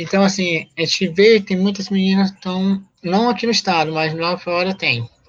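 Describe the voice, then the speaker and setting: A woman speaks with hardly any pauses. Her voice is somewhat breathy. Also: medium pitch for a woman, ordinary pitch variation, moderate pace. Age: 40s. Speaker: activist, association president. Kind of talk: interview.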